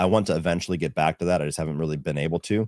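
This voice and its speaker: Speaking very fast, a man has a very deep, low pitch and vocal fry. The sound is dry and close, with no echo. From US Midwest, Ohio. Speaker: film reviewer and YouTuber. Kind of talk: live Q&A stream. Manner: casual, many fillers.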